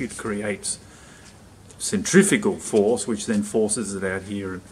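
A man's fairly low, unremarkable speaking voice at a fairly slow pace, with ordinary pitch variation and light background noise. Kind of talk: tutorial. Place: workshop. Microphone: phone near.

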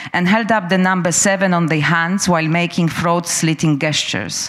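This is a woman with an ordinary speaking voice, fairly low in pitch. She talks at a moderate pace against a quiet background. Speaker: curator and speaker on free expression. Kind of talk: prepared talk. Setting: stage with live audience. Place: hall. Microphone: handheld.

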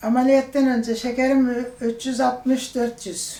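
This woman has a high pitch and a dark, mellow tone, speaking very slowly with fairly even intonation. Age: 70s. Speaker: diabetes surgery patient. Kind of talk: patient testimonial.

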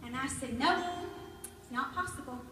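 Pitched high, a woman speaks with audible room echo and clear music in the background. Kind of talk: stage talk, personal story. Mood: warm, heartfelt. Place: church. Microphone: pa.

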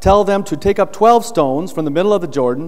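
The setting behind this man is quiet. He keeps to a moderate tempo. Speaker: pastor. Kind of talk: scripture reading in a sermon. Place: church.

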